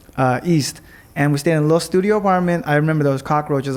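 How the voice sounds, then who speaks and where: In a Los Angeles accent, a man speaks in a fairly high voice with ordinary pitch variation. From Los Angeles, US West Coast. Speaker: entrepreneur. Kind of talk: casual interview chat. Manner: fast-paced.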